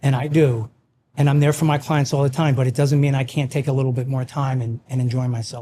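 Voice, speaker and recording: A man's voice has a dark, mellow tone and is somewhat breathy. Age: 60s. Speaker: financial investment firm CEO. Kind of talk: casual chat. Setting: in a winery barn.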